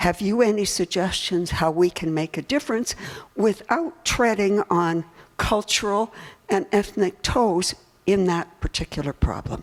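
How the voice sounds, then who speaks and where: With noticeable background noise, a woman talks fairly slowly at a medium pitch and with lively intonation. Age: 80s+. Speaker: audience member, retiree. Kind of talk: audience question. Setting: conference with audience.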